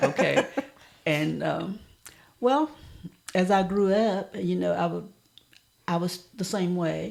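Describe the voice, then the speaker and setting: Pausing long and often, a woman with an American accent speaks at a very slow pace. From US South. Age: 80s+. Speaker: elder sharing life stories. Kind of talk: interview reminiscence.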